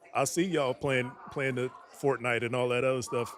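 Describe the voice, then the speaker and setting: A man with a medium pitch is heard against noticeable background noise. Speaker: aspiring nonprofit founder, Air Force mechanic. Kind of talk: casual chat. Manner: monotone.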